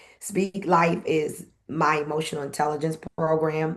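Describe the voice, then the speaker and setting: At a fairly slow pace, a woman talks with fairly even intonation in a very deep, low pitch. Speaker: event host and former radio personality. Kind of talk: interview conversation.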